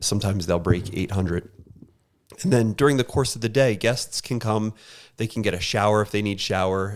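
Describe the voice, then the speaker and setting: A man with a fairly low voice is heard in a very clean recording against a silent background. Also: ordinary pitch variation, fairly quick pace. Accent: Philadelphia. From Philadelphia, US. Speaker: homeless shelter worker. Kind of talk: interview.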